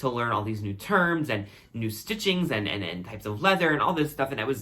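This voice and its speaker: Here a man speaks at a medium pitch with lively intonation. His tone is bright and sharp. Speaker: YouTuber, former luxury retail client advisor. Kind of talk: casual vlog talk. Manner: casual, filler-heavy.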